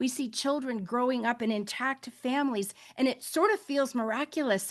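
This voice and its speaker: Moderate pace and ordinary pitch variation from a woman with a high-pitched voice. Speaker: faith-based global health advocate. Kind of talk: panel webinar remarks. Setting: online webinar. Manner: impassioned, emotional.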